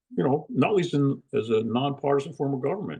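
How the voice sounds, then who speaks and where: With a New Jersey accent, a man speaks at a moderate pace and medium pitch in a dark, mellow tone. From US Northeast, New Jersey. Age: 80s+. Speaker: retired lawyer. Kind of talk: interview. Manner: casual, with many fillers.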